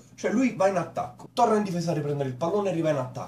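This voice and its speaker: The man's voice carries audible room echo, with light background noise present. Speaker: cartoon reviewer. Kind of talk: comedic commentary. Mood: mocking, amused. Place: home room. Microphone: webcam.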